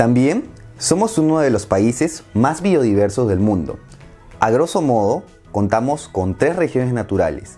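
Faint music plays behind a man with a Peruvian accent who speaks at a fairly slow pace with very wide pitch swings. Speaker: Spanish teacher. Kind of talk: language lesson narration. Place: home room. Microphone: lapel.

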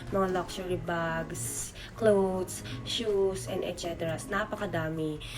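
Amid noticeable background noise and audible room echo, a woman talks at a very slow pace. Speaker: overseas worker vlogger. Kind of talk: vlog narration. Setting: thrift store. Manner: animated.

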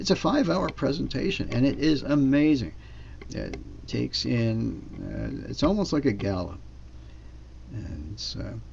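Leaving long, frequent pauses, a man talks at a fairly slow pace. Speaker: business seminar presenter. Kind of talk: sales pitch at a business seminar. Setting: live seminar with slides. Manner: upbeat, persuasive pitchman, walking through bonuses and payouts; fluent, explanatory, with frequent fillers.

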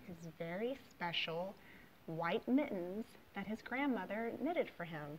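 This is plain reading aloud. Lively intonation runs through it.

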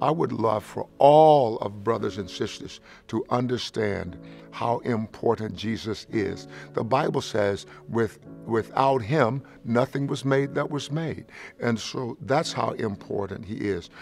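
A man talks at a fairly slow pace with ordinary pitch variation while faint music plays in the background. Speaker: pastor. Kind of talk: interview answer. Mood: warm, earnest. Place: studio. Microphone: lapel.

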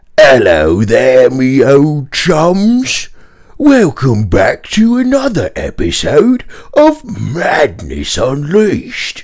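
The delivery is very slow. It comes in a put-on character voice at a middle pitch. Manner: exaggerated, enthusiastic.

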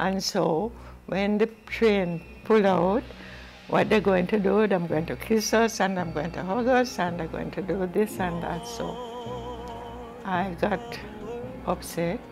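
Long, frequent pauses from a woman at a fairly slow pace, ordinary pitch variation, clear music in the background. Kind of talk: interview answer. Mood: reflective, sometimes smiling. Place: home room.

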